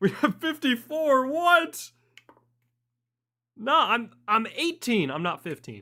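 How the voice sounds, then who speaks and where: A man's raised, projected, high voice with a bright, sharp tone, big swings in loudness, long, frequent pauses, and a very slow pace. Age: 18. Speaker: streamer. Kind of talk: live stream reaction.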